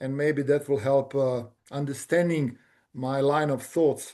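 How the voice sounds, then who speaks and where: A fairly slow man's voice with a Bosnian accent, fairly high in pitch, dark and mellow in tone. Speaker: engineering company director. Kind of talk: interview.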